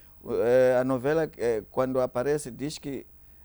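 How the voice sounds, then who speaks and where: A man with a Mozambican accent talks at a moderate pace, his medium-pitched voice carrying a dark, mellow tone. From Mozambique. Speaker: pastor. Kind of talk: panel discussion. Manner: halting.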